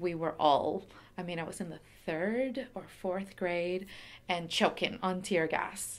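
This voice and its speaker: A woman with a Venezuelan accent speaks at a medium pitch. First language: Spanish. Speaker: curator, former human rights lawyer. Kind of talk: oral history interview. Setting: pop-up story booth at exhibition reception.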